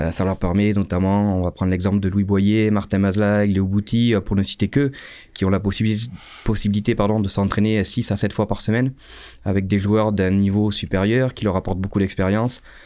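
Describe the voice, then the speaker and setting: A man talks at a fairly quick pace with a fairly low pitch and a dark, mellow tone. His loudness stays very even and his intonation monotone and flat. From France, Dordogne (Sarlat); Dordogne, France. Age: 30s. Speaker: rugby coach. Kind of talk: casual interview. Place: studio. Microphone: studio mic.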